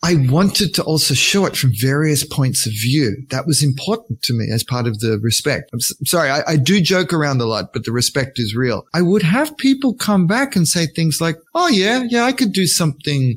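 Somewhat breathy, with an Australian accent and very wide pitch swings, the voice moves at a moderate pace with hardly any pauses. The recording is very clean, with a silent background. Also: man, fairly high pitch for a man. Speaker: scale model artist and author. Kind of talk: interview.

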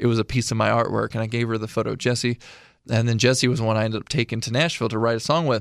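Using an American accent, a man with a medium pitch talks at a very fast pace in a very clean recording with a silent background. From Illinois. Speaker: military veteran and artist. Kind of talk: casual interview chat.

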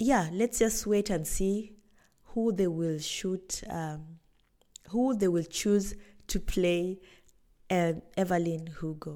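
In a very clean recording with a silent background, a woman speaks very slowly at a fairly low pitch in a dark, mellow tone with ordinary pitch variation. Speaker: podcast host. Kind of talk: solo book review monologue. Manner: halting, many fillers.

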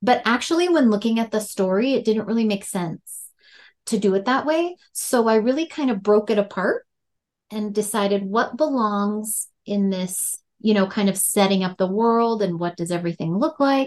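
A fairly high-pitched woman with an Upper Midwest accent, lively intonation and a moderate pace over a quiet background. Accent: Upper Midwest, Fargo-style. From North Dakota. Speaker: horror author. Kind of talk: interview.

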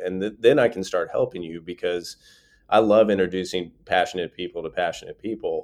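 Against a quiet background, a man with an ordinary speaking voice talks fairly quickly at a fairly low pitch with ordinary pitch variation. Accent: American. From Eastern North Carolina. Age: 40s. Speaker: entrepreneur and former army officer. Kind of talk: interview.

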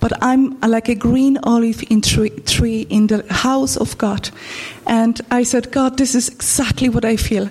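In a Polish accent, a woman with a fairly high voice speaks at a fairly slow pace with fairly even intonation, over noticeable background noise. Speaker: church member. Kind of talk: testimony. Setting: church. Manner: halting.

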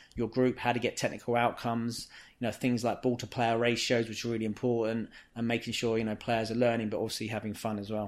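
Speaking very fast in a London accent, a man keeps a medium pitch and a monotone, flat intonation. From England, inner-city London. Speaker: football coach. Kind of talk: casual interview.

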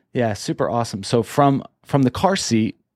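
A normal speaking voice at a moderate pace with lively intonation, in a very clean recording with a silent background and a dry, close sound with no echo. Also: man. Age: 40s. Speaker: business podcast host. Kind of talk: casual interview chat.

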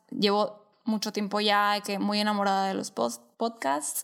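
Speaking fairly slowly in an unremarkable speaking voice, a woman holds a medium pitch on a very clean recording with a silent background. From Sonora, Mexico. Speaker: podcast co-host. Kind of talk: casual chat.

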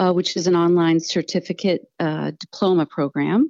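A woman speaks in an American accent at a fairly slow pace. Her pitch is fairly low and her intonation fairly even. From US Northeast. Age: 50s. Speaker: astrologer. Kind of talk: interview. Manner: hesitant, many fillers.

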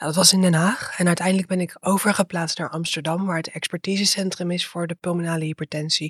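The speech comes very fast with hardly any pauses, in a monotone with flat intonation. The voice is somewhat breathy, and the sound is dry and close with no echo. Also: woman, fairly low pitch for a woman. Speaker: dietitian and PhD researcher. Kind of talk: interview.

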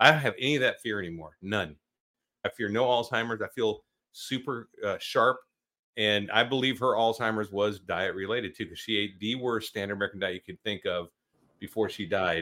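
A man with an unremarkable speaking voice talks at medium pitch. He goes at a fairly quick pace with ordinary pitch variation. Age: 50s. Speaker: podcast host, retired army officer. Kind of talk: casual interview chat.

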